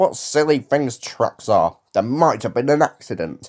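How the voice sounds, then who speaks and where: Using a put-on character voice, a man speaks at a moderate pace with a fairly high pitch. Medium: read story.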